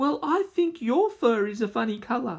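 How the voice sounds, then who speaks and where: Putting on a character voice, a man speaks at a moderate pace at an extremely high pitch. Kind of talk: bedtime story. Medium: read story. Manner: fretful, repeats "oh dear".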